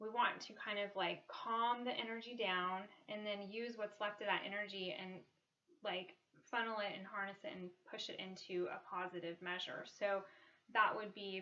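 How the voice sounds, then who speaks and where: With fairly even intonation, this woman talks at a medium pitch. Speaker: wellness vlogger. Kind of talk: casual talk to camera. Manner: fast; hesitant, many ums.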